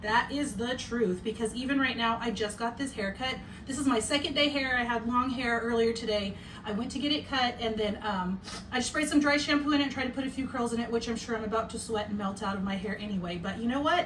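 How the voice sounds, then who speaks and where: Speaking at a very fast pace, a woman with a fairly high voice and ordinary pitch variation is heard over noticeable background noise and audible room echo. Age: 40s. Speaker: podcast host. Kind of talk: casual chat. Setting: home bedroom. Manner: loud.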